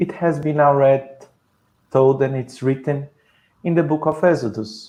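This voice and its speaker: A man is speaking. He has a Brazilian Portuguese accent. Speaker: spiritist speaker on the Bible. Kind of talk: lecture.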